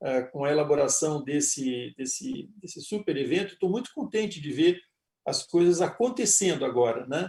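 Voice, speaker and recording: A fairly high male voice, dark and mellow in tone, with lively intonation and a moderate pace. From Rio Grande do Sul, southern Brazil. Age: 60s. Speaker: panel moderator, board member. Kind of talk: panel discussion. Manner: halting, many fillers.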